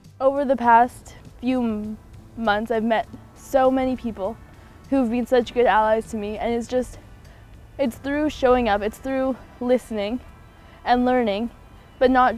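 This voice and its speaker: Over faint music in the background, in a dry sound with no echo, a woman with a high pitch speaks at a moderate pace with fairly even intonation and long, frequent pauses. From Haida Gwaii, British Columbia, Canada. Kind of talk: interview answer. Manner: casual, earnest. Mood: earnest, thoughtful. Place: garden. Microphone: lapel.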